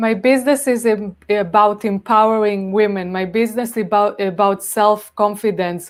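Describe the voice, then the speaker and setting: A woman with an Israeli accent and a medium pitch speaks at a moderate pace with fairly even intonation and hardly any pauses, in a very clean recording with a silent background. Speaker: cosmetics entrepreneur. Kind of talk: live stream interview. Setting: live stream.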